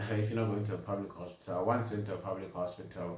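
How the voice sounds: Strong room echo surrounds a man whose intonation stays fairly even.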